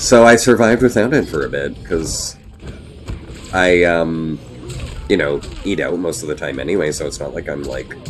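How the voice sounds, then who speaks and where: A man with a Canadian accent and a very deep, low pitch, at a moderate pace, with very wide pitch swings, big swings in loudness, long, frequent pauses and music in the background. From Canada, Ottawa. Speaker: gaming streamer. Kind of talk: casual chat. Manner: casual, many fillers.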